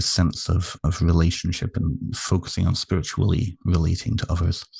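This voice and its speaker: A British-accented man with a very deep, low pitch, fairly even intonation and a moderate pace. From United Kingdom. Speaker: therapist and author. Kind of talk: interview.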